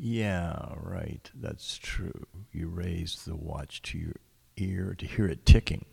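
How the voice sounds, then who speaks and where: A man speaks very slowly with a very deep, low pitch and ordinary pitch variation. His tone is dark, mellow and somewhat breathy, with big swings in loudness. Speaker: radio host. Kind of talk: live radio poetry show, casual chat. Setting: radio studio, live broadcast. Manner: hesitant, filler-heavy.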